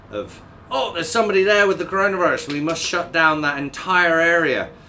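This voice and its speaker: A man's voice over noticeable background noise. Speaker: former co-host. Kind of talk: casual chat. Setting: studio.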